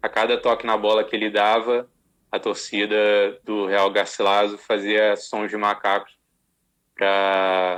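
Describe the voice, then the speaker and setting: A man speaks at a fairly low pitch and a very slow pace. His intonation is monotone and flat. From Rio de Janeiro, Brazil. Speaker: sports lawyer. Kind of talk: interview. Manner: halting, many repetitions.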